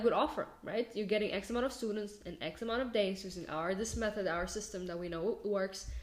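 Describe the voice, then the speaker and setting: A speaker with a non-native accent talks at a fairly quick pace, with hardly any pauses and ordinary pitch variation. Noticeable background noise is present. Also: woman. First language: not English. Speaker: marketing agency owner and business coach. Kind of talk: casual tutorial. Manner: halting, many fillers and self-corrections.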